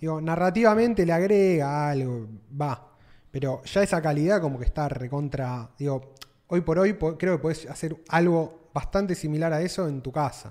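Here a man with a Rioplatense accent speaks at a moderate pace. His voice is fairly high and has a dark, mellow tone. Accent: Argentine Rioplatense Spanish. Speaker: podcast co-host. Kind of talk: casual chat.

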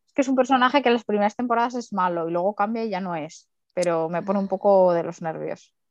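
The speech moves at a very fast pace. The sound is dry and close with no echo, with music in the background. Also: woman, medium pitch for a woman, ordinary pitch variation. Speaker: podcast co-host. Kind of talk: casual chat.

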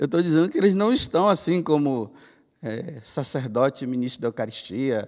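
Using a plain, everyday voice, a man speaks at a fairly slow pace with lively intonation. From Brazil, Bahia. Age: 50s. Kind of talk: homily.

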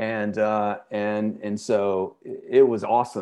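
A man speaks with a Southern US accent at a fairly low pitch. His intonation stays fairly even against a quiet background. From Birmingham, Alabama. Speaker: music festival organizer. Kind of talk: casual chat.

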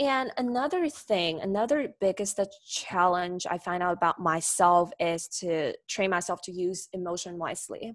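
Speaking in a Chinese accent at a medium pitch, a woman keeps a moderate pace with hardly any pauses and ordinary pitch variation, on a very clean recording with a silent background. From China, Nanjing. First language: Mandarin Chinese. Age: 20s. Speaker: graduate student. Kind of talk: casual interview.

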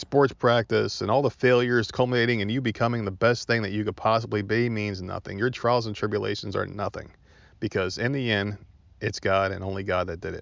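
Fairly low in pitch, a man speaks with an American accent. His pace is fairly quick. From New Jersey. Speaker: podcast host. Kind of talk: casual solo podcast monologue. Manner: animated.

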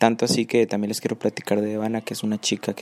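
A man speaks in a fairly low pitch. His intonation is monotone and flat, and the sound is dry and close with no echo. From Nuevo León, Mexico. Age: 20s. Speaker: podcast host, university student. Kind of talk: casual podcast monologue.

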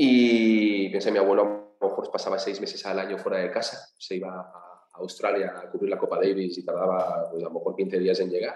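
With hardly any pauses, this man keeps to a moderate pace. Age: 40s. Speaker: sports business co-founder. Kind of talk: interview.

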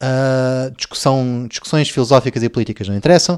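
A man speaks fairly quickly at a medium pitch. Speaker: comedy podcast host. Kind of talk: comedic monologue. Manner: halting with many fillers.

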